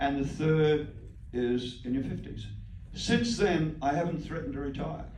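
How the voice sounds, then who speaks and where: A man with an Australian accent and a fairly high voice, amid audible room echo and noticeable background noise. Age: 70s. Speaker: parent of musicians, band co-owner. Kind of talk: Q&A talk. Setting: Q&A session with moms group. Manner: halting, repetitive.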